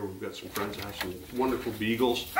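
The voice belongs to a man. Audible room echo and light background noise are present. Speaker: hunting show host. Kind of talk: cooking show intro chat. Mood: cheerful, relaxed. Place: kitchen.

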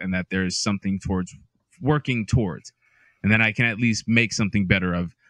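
A man talks at a fairly quick pace. The sound is dry with no echo, against a quiet background. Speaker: podcast co-host. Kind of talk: casual podcast chat. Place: home room. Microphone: studio mic.

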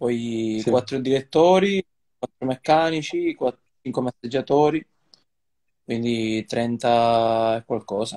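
Over a quiet background, a man with a dark, mellow tone speaks at a very slow pace with ordinary pitch variation, long, frequent pauses and big swings in loudness. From Sicily. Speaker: professional cyclist; guest. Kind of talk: casual chat. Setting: video call from hotel room. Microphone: video call.

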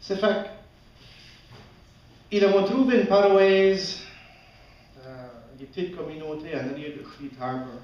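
A man with a high pitch and lively intonation, fairly slow pace, long and frequent pauses, big swings in loudness, audible room echo. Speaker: storyteller. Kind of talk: live storytelling performance. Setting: live audience, festival stage. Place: stage. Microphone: camera far.

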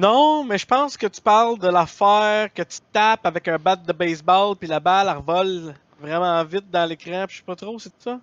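A man speaks loudly at a moderate pace, his high pitch moving with ordinary variation. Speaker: gaming streamer. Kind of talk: live stream chat. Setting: live stream.

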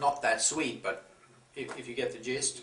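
A man is speaking. Audible room echo fills the recording. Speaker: chocolate reviewer. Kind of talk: casual review chat. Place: home room. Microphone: camera far.

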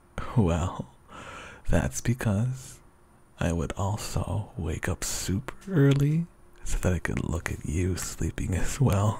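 With vocal fry and very wide pitch swings, a man speaks at a very slow pace. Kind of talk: ASMR roleplay. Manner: soft-spoken; sleepy.

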